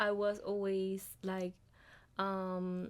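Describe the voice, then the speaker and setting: A woman speaks at a medium pitch with a Colombian accent, her intonation flat and monotone. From Colombia, Cartagena. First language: Spanish. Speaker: international student. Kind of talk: podcast interview.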